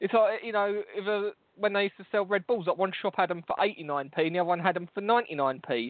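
Someone talks at a fairly quick pace with a London accent. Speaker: podcast host. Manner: loud, swears a lot.

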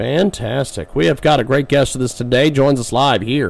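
At a moderate pace, a man talks in a normal speaking voice pitched fairly high. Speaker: radio host. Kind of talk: radio interview.

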